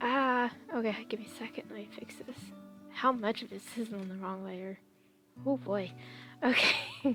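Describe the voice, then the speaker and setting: Medium-pitched woman at a moderate pace, lively intonation, big swings in loudness and long, frequent pauses, with music in the background. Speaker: digital artist. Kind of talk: casual talk while drawing. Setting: home, basic headset mic. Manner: soft, mumbling at times.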